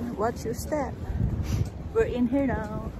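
Over noticeable background noise, the speech moves at a very slow pace. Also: woman, dry sound with no echo. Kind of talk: casual vlog chat. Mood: cheerful, excited. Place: boat. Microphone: phone near.

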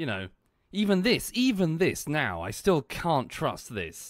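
In a very clean recording with a silent background, a man with a British accent speaks fairly slowly, his pitch swinging very widely. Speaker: game streamer. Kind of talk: casual chat. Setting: live stream.

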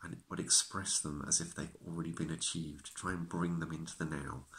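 A man with a very deep, low pitch and vocal fry talks at a moderate pace. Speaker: acupuncturist. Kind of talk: self-help talk to camera. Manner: stutters at times. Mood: calm, reassuring. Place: home room. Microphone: phone near.

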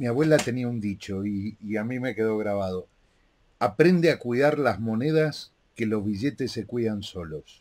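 A man at medium pitch in a Rioplatense accent, ordinary pitch variation, moderate pace, very clean recording with a silent background. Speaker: interviewer and live show host. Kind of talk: interview.

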